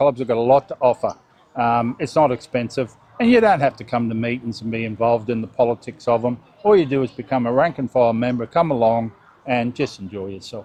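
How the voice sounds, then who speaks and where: A man speaks at a very fast pace with an Australian accent. His pitch is medium. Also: ordinary pitch variation. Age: 60s. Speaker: bird club president. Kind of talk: casual interview.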